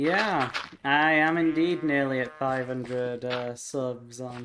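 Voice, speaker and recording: The speaker has a British accent. The pace is very slow. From UK. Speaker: gaming streamer. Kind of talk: live gameplay commentary. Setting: live stream. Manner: casual, chatty with hesitations.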